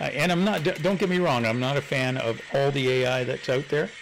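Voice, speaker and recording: There is noticeable background noise as a man talks with lively intonation. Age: 70s. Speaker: model railroad hobbyist streamer. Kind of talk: casual chat. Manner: halting.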